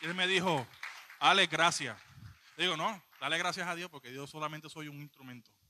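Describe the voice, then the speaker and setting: This man talks at a fairly quick pace with fairly high pitch and fairly even intonation. It is an unremarkable speaking voice. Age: 20s. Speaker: lay preacher. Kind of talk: sermon. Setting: church.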